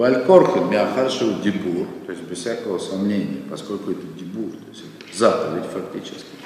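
A fairly low-pitched man at a moderate pace, with big swings in loudness over noticeable background noise. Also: ordinary pitch variation. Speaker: rabbi teaching Torah classes. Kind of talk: lecture.

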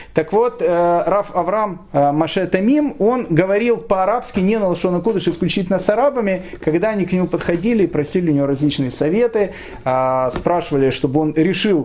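A man talks at a fairly quick pace in a high pitch with lively intonation and very even loudness. Noticeable background noise runs underneath. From Ukraine, Kyiv. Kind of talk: lecture. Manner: hesitant, with frequent fillers.

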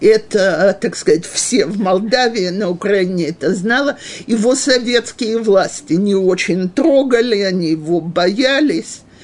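Against noticeable background noise, a woman speaks very slowly at a medium pitch with lively intonation. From Western Ukraine, Ivano-Frankivsk. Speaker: religious teacher for women. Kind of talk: lecture, personal life story. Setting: live class with audience, also streamed on video.

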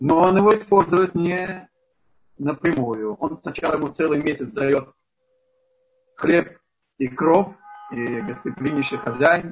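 A man speaks very slowly at a fairly high pitch, with lively intonation. Long pauses come often. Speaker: rabbi teaching a Torah lesson. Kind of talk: lecture. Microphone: poor connection, bad sound.

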